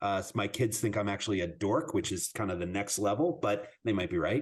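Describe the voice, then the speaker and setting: A man speaks in a plain, everyday voice with ordinary pitch variation against a quiet background. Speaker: podcast host. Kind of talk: podcast interview host talk.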